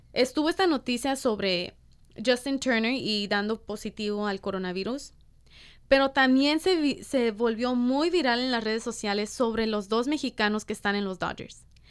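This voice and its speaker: A woman speaks at a moderate pace with ordinary pitch variation, in a plain, everyday voice. The recording is very clean, with a silent background. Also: fairly high pitch for a woman. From Los Angeles (Boyle Heights / East LA), US. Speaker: podcast co-host. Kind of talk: casual chat.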